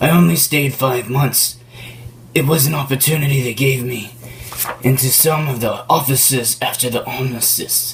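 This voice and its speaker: A man puts on a character voice at a medium pitch and a moderate pace. Clear background noise runs underneath. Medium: stage play. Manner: formal, earnest.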